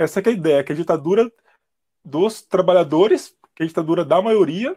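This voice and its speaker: A high-pitched man speaks at a moderate pace in a very clean recording with a silent background. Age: 30s. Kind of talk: casual chat. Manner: halting.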